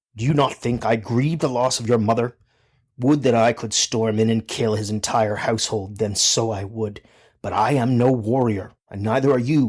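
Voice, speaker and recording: Putting on a raspy character voice, a man speaks at medium pitch and a moderate pace with fairly even intonation. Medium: read story. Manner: even, measured.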